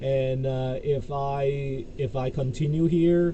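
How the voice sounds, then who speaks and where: Audible room echo follows a man whose pitch is fairly high. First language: Cantonese. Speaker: YouTuber, crypto commentator. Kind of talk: casual vlog monologue. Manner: halting, many fillers.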